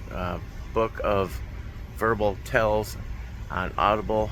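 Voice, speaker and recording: Noticeable background noise and audible room echo accompany a man who speaks at a fairly slow pace. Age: 50s. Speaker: truck driver and poker vlogger. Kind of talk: casual vlog monologue. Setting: in a truck cab. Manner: casual with many fillers (uh, um).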